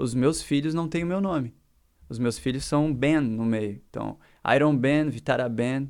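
A man with an unremarkable speaking voice, medium pitch and ordinary pitch variation, at a fairly slow pace in a very clean recording with a silent background. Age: 30s. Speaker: designer and musician. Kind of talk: casual chat.

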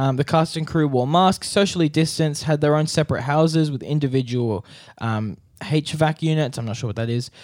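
At a fairly quick pace, a man with a fairly high pitch and ordinary pitch variation speaks in a very clean recording with a silent background. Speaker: podcast host. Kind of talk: news reading; casual chat. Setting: studio. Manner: news-anchor style delivery.

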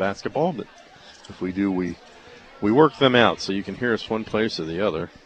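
Music plays behind a man talking at a fairly quick pace. His voice sits fairly low, with ordinary pitch variation. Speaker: radio play-by-play announcer. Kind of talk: live sports commentary, play-by-play of wrestling matches. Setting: radio broadcast from mat side of a wrestling meet.

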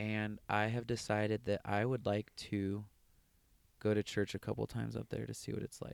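Dry and close with no echo, a man with an American accent speaks at a moderate pace in a fairly low pitch, his intonation monotone and flat. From US West, Las Vegas. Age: 20s. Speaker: software professional. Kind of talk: interview, personal testimony.

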